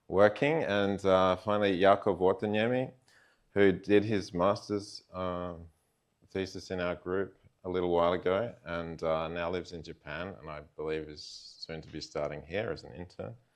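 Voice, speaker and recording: Against a quiet background, a man with an Australian accent speaks at a moderate pace in a very deep, low voice. His pitch moves in an ordinary way, but his loudness swings widely. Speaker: computer science researcher. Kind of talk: lecture. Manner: many fillers, hesitant.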